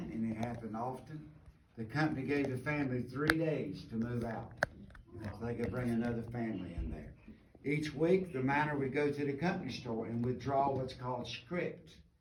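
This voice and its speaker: With an Appalachian accent, a man speaks at medium pitch with ordinary pitch variation, amid noticeable background noise and audible room echo. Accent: Appalachian US Southern. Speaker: mine tour guide. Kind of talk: guided tour talk. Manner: fast.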